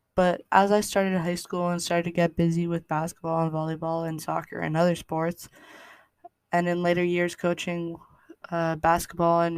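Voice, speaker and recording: Monotone, flat intonation runs through this woman's speech. She has a western Canadian accent, a fairly low pitch and a moderate pace. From Canada, British Columbia. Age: 20s. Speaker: podcast host. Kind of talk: casual monologue. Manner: halting.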